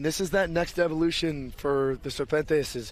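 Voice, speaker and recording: A man talks in a fairly high voice. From Arizona, Tucson. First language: Spanish. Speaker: rugby commentator. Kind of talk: live commentary. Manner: animated.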